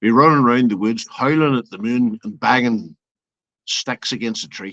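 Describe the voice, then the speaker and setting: A bright, sharp tone in an Irish accent at a moderate pace, with a dry, close sound, no echo and a quiet background. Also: man. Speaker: open mic guest. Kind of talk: casual chat.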